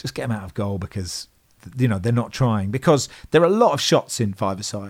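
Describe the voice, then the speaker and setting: With a British accent, a man talks at a fairly quick pace in a fairly low voice with lively intonation. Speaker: football podcast guest. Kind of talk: casual banter.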